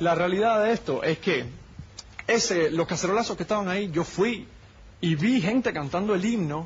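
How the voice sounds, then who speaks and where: This man has a high pitch and a Cuban accent. Noticeable background noise runs under his speech. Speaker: political activist. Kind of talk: heated debate.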